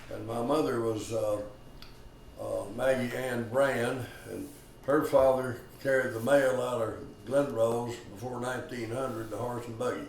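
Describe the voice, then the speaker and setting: In a Texan accent, a man speaks at a fairly slow pace and medium pitch with fairly even intonation and big swings in loudness, amid noticeable background noise and audible room echo. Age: 90s. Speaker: war veteran. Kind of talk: oral history interview.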